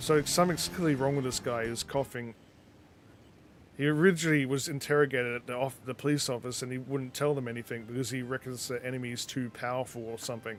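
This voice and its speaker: In an Australian accent, a man speaks very fast at a medium pitch, with fairly even intonation. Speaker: gaming streamer. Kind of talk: casual live-stream chat with gameplay commentary. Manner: mumbling at times.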